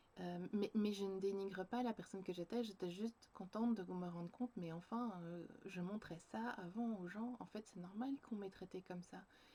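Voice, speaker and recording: A woman's somewhat breathy, dark, mellow voice at medium pitch, moderate pace, fairly even intonation, and hardly any pauses. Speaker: creative journaling coach and vlogger. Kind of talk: personal video diary reflection. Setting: home, sitting on the floor by a bookshelf facing a window. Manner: halting, many hesitations.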